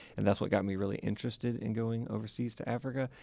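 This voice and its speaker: This man has an ordinary speaking voice with an American accent, a fairly low pitch, and ordinary pitch variation. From US South, Mississippi (Vicksburg). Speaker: university international student services staff. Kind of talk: casual interview.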